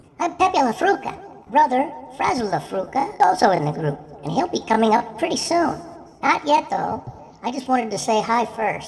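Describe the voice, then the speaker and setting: A woman's high-pitched voice at a moderate pace, with very wide swings in pitch. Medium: comedy sketch.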